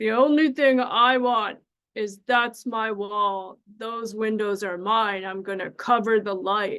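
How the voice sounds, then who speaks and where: A woman's put-on character voice, fairly high in pitch, fairly slow, with fairly even intonation. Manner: firm, insistent.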